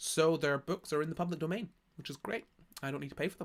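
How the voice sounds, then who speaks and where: A man speaks at a very fast pace with a high pitch. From Scotland. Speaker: streamer. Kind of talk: casual live stream chat. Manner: halting, many restarts.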